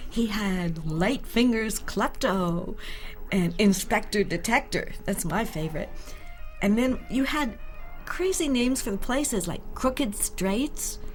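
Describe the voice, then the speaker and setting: Music plays in the background as a woman talks with lively intonation at a fairly high pitch. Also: fairly slow pace. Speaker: voice actor. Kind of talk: commentary track. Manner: lively, enthusiastic.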